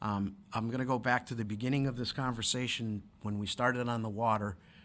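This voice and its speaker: A man with a normal speaking voice, a medium pitch, ordinary pitch variation and a fairly quick pace. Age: 60s. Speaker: city council candidate. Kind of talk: interview.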